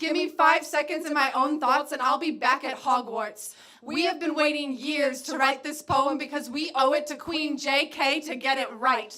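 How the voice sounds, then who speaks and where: A woman with a high pitch uses a raised, projected voice. Her intonation stays fairly even. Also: moderate pace. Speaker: spoken word poet. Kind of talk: spoken word poetry performance.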